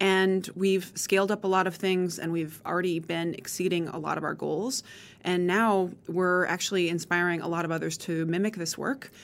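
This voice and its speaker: On a very clean recording with a silent background, a woman with an American accent speaks at a moderate pace, fairly low in pitch, with fairly even intonation. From rural Montana. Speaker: higher education consortium director. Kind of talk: interview conversation.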